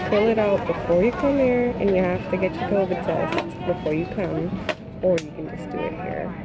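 A woman talks at a moderate pace with ordinary pitch variation. The sound is dry with no echo, and clear music plays in the background. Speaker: travel vlogger. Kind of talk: casual vlog chat. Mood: hopeful, slightly anxious. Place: plane. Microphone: phone near.

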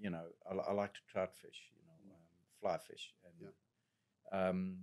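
Against a quiet background, a man speaks with a Zimbabwean accent. His voice is fairly low, and his pace fairly slow. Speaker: general practitioner doctor; guest. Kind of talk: podcast interview conversation; interview answer. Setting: studio. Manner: very talkative, goes off on tangents. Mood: relaxed, thoughtful. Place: studio. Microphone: studio mic.

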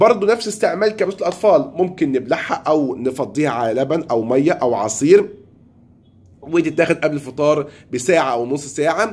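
The speaker has an Egyptian accent. The intonation is lively. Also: man, fairly high pitch for a man, moderate pace. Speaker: pharmacist. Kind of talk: tutorial. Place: home room. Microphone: phone near.

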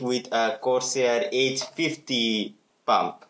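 A man with a non-native accent, medium pitch and fairly even intonation. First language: not English. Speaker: tech YouTuber. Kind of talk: hardware teardown tutorial. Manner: hesitant, many filler words.

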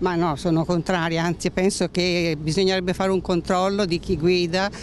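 A woman with fairly low pitch and little pitch movement, at a moderate pace

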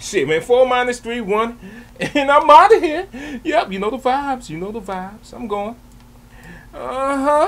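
Pitch leaps very widely up and down as the man talks. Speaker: reaction video creator. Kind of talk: casual reaction commentary and outro.

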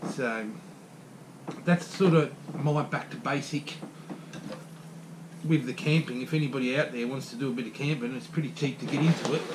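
A man speaks at a medium pitch with fairly even intonation and long, frequent pauses. Faint background noise can be heard. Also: moderate pace.

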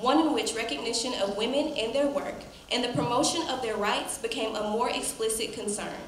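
A woman with a fairly high-pitched voice speaks at a moderate pace, with light background noise and audible room echo. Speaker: master of ceremonies. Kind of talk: formal ceremony hosting. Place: hall. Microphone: podium.

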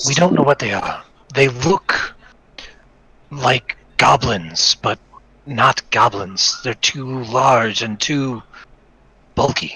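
A raspy man speaks at a medium pitch and a very slow pace. Long, frequent pauses break up his speech. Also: ordinary pitch variation. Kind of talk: fantasy tabletop roleplay. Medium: actual play. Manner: worried, hesitant.

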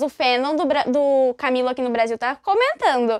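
Her tone animated, a woman speaks with ordinary pitch variation. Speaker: music YouTuber. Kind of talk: casual vlog talk about music.

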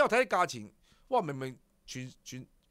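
A man talks at a fairly quick pace in an animated tone that is bright and sharp, against a quiet background. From Hong Kong. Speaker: horse racing show host. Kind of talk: casual chat. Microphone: studio mic.

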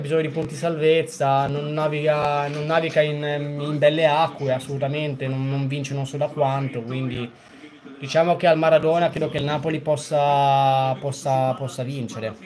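Light background noise accompanies a man speaking at a moderate pace in an ordinary speaking voice. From Genoa, Italy. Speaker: football fan streamer. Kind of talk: casual live stream commentary. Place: home room.

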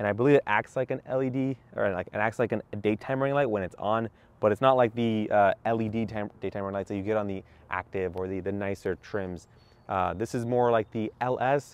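A man's plain, everyday voice at fairly low pitch, with fairly even intonation, a fairly quick pace, and a dry sound with no echo. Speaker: car reviewer. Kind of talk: casual walkaround car review. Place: street. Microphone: phone near.

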